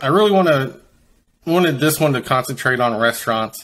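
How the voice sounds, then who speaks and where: Speaking at a very fast pace with a slight Kentucky accent and ordinary pitch variation, a man is heard in a very clean recording with a silent background. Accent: faint Kentucky. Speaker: podcast host. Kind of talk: interview. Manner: halting.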